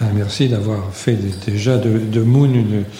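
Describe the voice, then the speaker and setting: Ordinary pitch variation comes through noticeable background noise and audible room echo. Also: man. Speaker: retired teacher. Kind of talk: live interview. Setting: stage with audience.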